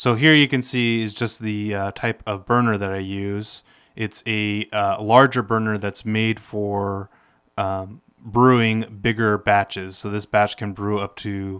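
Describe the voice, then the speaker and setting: A man's plain, everyday voice at a fairly slow pace with fairly even intonation, quiet background. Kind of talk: casual equipment tour explanation. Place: garage. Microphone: phone near.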